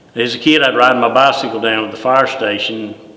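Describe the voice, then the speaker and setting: The speaker has a North Carolina accent. Noticeable background noise and audible room echo are present. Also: man. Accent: Southern US (North Carolina). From US South, Greensboro, North Carolina. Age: 60s. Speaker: retired deputy fire chief. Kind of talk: oral history interview. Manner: halting, many fillers and repeats.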